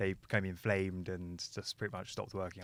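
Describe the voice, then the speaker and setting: A man's very deep, low voice with a southern English accent, at a fairly quick pace. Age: 20s. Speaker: motorcycle content creator. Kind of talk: podcast interview.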